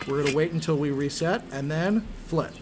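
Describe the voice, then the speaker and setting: A woman speaks at a moderate pace in a very deep, low pitch. Music plays in the background. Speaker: gaming youtuber. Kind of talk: tutorial. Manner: casual with fillers.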